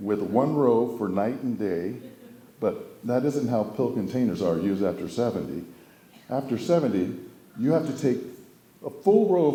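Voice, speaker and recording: In a room with audible echo, a man with a medium pitch and dark, mellow tone speaks at a moderate pace, with long, frequent pauses and very wide pitch swings. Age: 70s. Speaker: family member giving a memorial speech. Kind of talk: humorous memorial speech.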